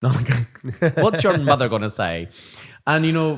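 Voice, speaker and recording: An animated man with a Northern Irish accent, very wide pitch swings and a moderate pace. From Northern Ireland. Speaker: primary school teacher and podcast co-host. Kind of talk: casual chat.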